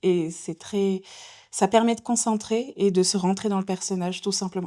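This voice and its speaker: A woman's medium-pitched voice with a dark, mellow tone and fairly even intonation at a moderate pace, in a very clean recording with a silent background. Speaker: voice actress, audiobook narrator. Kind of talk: interview.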